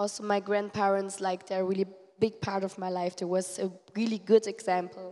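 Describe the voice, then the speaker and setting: Dark and mellow in tone, the voice keeps a monotone, flat intonation. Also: woman, medium pitch for a woman, moderate pace. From Germany. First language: German (speaking Portuguese). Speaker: missionary. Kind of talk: testimony. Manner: halting.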